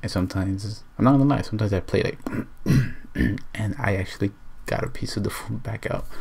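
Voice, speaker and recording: A man with a fairly low pitch talks at a fairly quick pace with ordinary pitch variation. Audible room echo surrounds his voice. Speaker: vlogger. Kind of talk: casual vlog. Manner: whispering.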